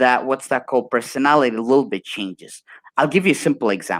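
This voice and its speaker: A man with an Arabic accent and medium pitch speaks with ordinary pitch variation in a very clean recording with a silent background and a dry, close sound with no echo. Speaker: motivational speaker. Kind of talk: casual interview chat.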